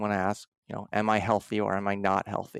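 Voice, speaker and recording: This man has a plain, everyday voice, pitched fairly low. The recording is very clean with a silent background and a dry, close sound with no echo. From US Northeast, Philadelphia area. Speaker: graduate student scientist. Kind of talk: casual interview.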